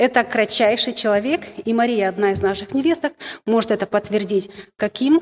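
At a moderate pace, the speaker uses ordinary pitch variation, recorded with a dry, close sound and no echo. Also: woman. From Moldova. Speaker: women's ministry speaker. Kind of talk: sermon. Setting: stage with audience. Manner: halting.

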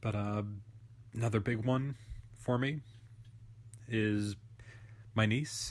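Somewhat breathy and medium in pitch, a man speaks at a very slow pace with long, frequent pauses, fairly even intonation and very even loudness. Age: 30s. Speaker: podcast guest. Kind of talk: reading aloud. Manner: thoughtful.

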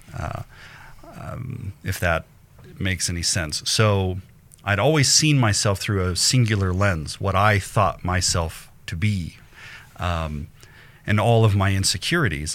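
A man with a fairly low pitch and ordinary pitch variation talks at a fairly slow pace, leaving long, frequent pauses. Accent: General American. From Colorado, Denver suburbs. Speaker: photographer and entrepreneur. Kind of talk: casual interview chat. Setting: live-streamed video show.

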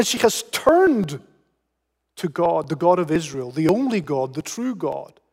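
In a British accent, a man with a high pitch speaks at a fairly slow pace, his pitch swinging very widely. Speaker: pastor. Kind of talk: sermon. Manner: repeats words often, halting restarts.

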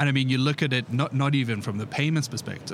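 Ordinary pitch variation in a man's speech, set against noticeable background noise. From South Africa. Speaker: payments company executive. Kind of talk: podcast interview. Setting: conference podcast booth on event floor.

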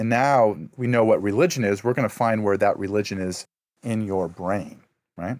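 In a plain, everyday voice, a man with an American accent speaks at a moderate pace, his fairly low pitch showing ordinary variation, on a very clean recording with a silent background. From US Midwest (Ohio). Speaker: professor of religious studies. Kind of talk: interview conversation.

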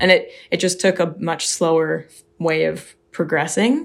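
Speaking at a fairly slow pace, a woman has a fairly low pitch. The recording is very clean, and the background is silent. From US, Seattle. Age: 20s. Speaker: professional cyclist. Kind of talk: interview.

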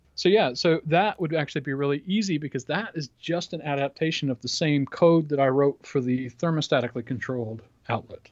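Heard dry and close with no echo, this man talks with hardly any pauses in a plain, everyday voice, his fairly high pitch showing ordinary variation. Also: fairly quick pace. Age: 40s. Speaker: podcast co-host. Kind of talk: casual chat.

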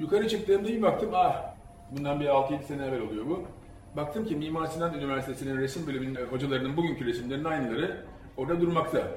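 There is noticeable background noise and audible room echo. A man with a fairly high pitch talks very fast, with ordinary pitch variation. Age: 50s. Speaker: sociologist and curator. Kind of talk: public talk.

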